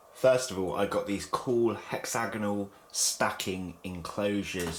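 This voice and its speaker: Over noticeable background noise, a man with a fairly low pitch talks at a moderate pace with fairly even intonation. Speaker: pet keeper video host. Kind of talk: casual unboxing vlog. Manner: slurring words.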